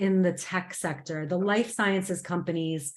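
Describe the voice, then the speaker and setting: With an American accent, a woman talks at a moderate pace, medium in pitch, with fairly even intonation. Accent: American, audible. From United States. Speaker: program manager. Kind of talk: online information session.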